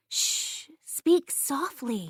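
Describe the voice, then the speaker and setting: This is a quiet, put-on character voice. It has a nervous tone. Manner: nervous, hushed.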